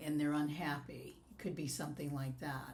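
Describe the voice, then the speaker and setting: A woman's very deep, low voice with vocal fry and an American accent, set against audible room echo. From US West Coast. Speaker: life coach. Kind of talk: podcast interview.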